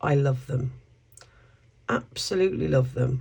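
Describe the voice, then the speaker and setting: A woman with a British accent talks at a fairly slow pace in a somewhat breathy voice with a dark, mellow tone. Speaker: craft YouTuber. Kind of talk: tutorial. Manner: casual, chatty.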